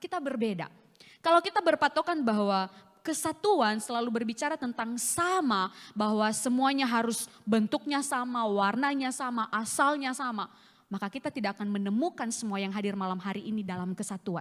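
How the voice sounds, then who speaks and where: A woman's fairly high voice moves at a fairly quick pace with lively intonation. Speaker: evangelist preacher. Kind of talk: sermon. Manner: forceful, sounds like scolding.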